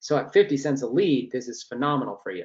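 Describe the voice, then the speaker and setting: This man's words come out very fast. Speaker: online marketing trainer. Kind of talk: webinar training presentation. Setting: live online webinar.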